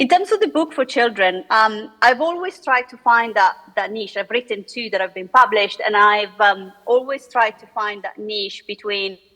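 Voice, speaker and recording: A woman's fairly high voice in an Italian accent, lively in intonation and swinging widely in loudness, with hardly any pauses and noticeable background noise. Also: moderate pace. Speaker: economist and author. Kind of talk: panel discussion. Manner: hesitant, many fillers.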